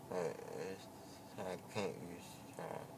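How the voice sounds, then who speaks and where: A man mumbling, with noticeable background noise. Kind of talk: casual drowsy chat. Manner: groggy, slurred, sedated mumbling. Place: car.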